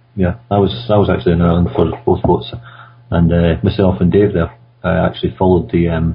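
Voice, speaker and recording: A man with a Scottish accent, his voice very deep and low, ordinary pitch variation, a fairly quick pace, noticeable background noise. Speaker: conference radio co-host. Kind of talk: casual discussion.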